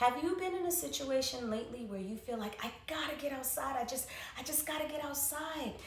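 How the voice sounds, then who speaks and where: A woman's high-pitched voice at a fairly quick pace, with ordinary pitch variation, audible room echo and noticeable background noise. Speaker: wellness educator. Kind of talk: instructional talk. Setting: livestream.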